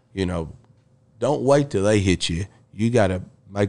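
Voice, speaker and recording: A man's fairly low voice with ordinary pitch variation, at a moderate pace over a quiet background. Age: 40s. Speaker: girls' high school basketball coach. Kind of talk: casual interview. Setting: live at a barbecue restaurant.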